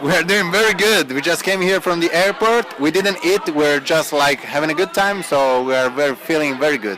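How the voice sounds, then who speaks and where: With crowd noise in the background, a man speaks at a high pitch and moderate pace, with ordinary pitch variation, very even loudness and hardly any pauses. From Italy, Turin. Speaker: actor. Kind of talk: interview. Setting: party at a film festival.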